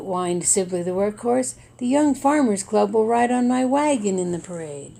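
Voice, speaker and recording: A whiny, put-on character voice, female-sounding, at a medium pitch for a woman and a moderate pace. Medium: read story. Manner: whining.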